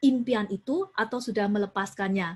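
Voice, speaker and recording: A woman's somewhat breathy voice, fairly high in pitch, with fairly even intonation. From Indonesia, Surabaya (East Java). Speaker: youth preacher. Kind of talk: sermon. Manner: mixes Indonesian with English phrases.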